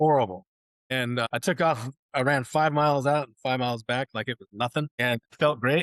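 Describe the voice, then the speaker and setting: With a West Coast US accent, a man speaks in a medium pitch at a moderate pace with ordinary pitch variation. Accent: General American, West Coast. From Oregon, US Pacific Northwest. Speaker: war veteran. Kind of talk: interview testimony. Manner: casual, repetitive with restarts.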